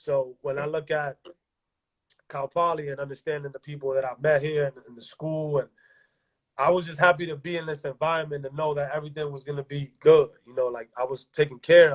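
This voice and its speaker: A man talks at a fairly quick pace in a fairly high, somewhat breathy voice with monotone, flat intonation. His loudness swings widely, and the sound is dry and close with no echo. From Dominican Republic. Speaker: basketball coach and former pro player. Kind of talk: interview. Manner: casual, halting with repetitions.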